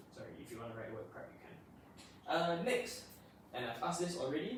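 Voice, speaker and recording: A man's high-pitched, lively voice carries audible room echo and noticeable background noise. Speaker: tutor. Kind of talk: classroom lesson. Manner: loud.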